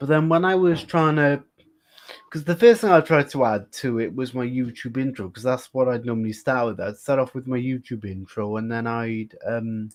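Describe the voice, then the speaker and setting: A man speaks in a British accent at a medium pitch. His loudness swings widely. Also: ordinary pitch variation, moderate pace. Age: 20s. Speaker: live streamer. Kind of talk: casual chat.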